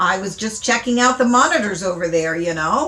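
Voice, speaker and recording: A woman's put-on character voice, raspy and medium-pitched, at a moderate pace. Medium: read story. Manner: easygoing, chummy.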